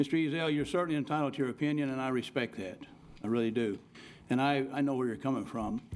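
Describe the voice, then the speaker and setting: Very fast in pace, a man talks with ordinary pitch variation. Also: medium pitch for a man. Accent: rural Oklahoma. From Oklahoma, Cherokee County. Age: 60s. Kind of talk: public meeting rebuttal. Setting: city commission meeting.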